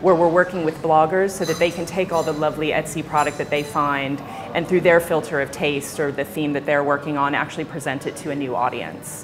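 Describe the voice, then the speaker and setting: A woman with an American accent speaks in a very deep, low voice at a fairly quick pace, her intonation fairly even. Music plays in the background. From United States. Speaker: tech company executive. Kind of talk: interview.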